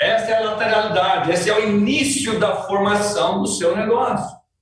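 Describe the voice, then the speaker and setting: Room echo can be heard as the words come at a moderate pace. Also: man. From Brazil, rural countryside. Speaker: company president, sales trainer. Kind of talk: motivational sales training. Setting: outdoors at his family farm. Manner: emphatic.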